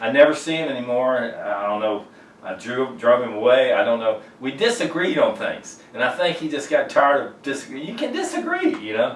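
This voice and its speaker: A man talks in an American accent. Audible room echo and noticeable background noise fill the recording. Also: fairly quick pace. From Virginia, Richmond. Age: 60s. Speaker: singer-songwriter. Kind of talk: documentary interview. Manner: halting.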